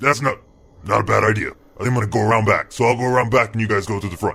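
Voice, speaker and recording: A man rattles off lines at a very fast pace in a raspy, put-on character voice of medium pitch. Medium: actual play. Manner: curt, bossy.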